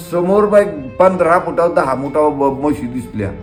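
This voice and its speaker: Music plays in the background as a man speaks with a high pitch. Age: 70s. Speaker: retired bus driver. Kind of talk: interview answer.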